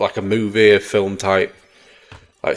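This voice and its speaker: The man's fairly low voice holds a monotone, flat intonation at a moderate pace. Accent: English. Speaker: gaming youtuber. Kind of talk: gameplay commentary. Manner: halting.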